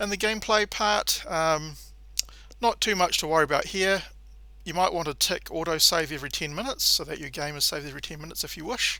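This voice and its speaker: Very fast and bright, sharp in tone, a man with a New Zealand accent talks at a high pitch with ordinary pitch variation and big swings in loudness, on a very clean recording with a silent background. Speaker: gaming tutorial creator. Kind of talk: tutorial. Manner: casual, frequent filler 'um'.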